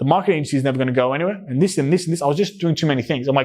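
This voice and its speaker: This man has an Australian accent and a fairly high pitch. His tone is animated, with ordinary pitch variation. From Australia, New South Wales, Greek parents. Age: 20s. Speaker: entrepreneur. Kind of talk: interview conversation. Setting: in-person podcast recording. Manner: casual, animated.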